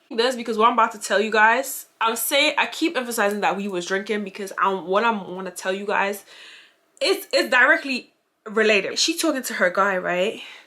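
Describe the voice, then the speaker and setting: In a strong Grenadian accent, a woman talks at a fairly quick pace and a fairly high pitch, with an animated tone and lively intonation. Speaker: YouTuber. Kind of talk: storytime vlog.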